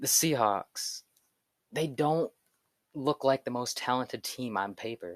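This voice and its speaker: The pitch varies in an ordinary way, and the sound is dry and close with no echo. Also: man. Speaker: sports youtuber. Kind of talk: solo commentary video. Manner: casual.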